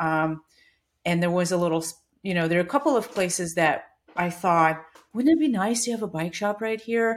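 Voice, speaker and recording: In a Russian accent, a woman talks at a fairly quick pace with a medium pitch and ordinary pitch variation, on a very clean recording with a silent background. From Russia (Siberia). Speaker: bike shop owner. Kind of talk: casual interview chat.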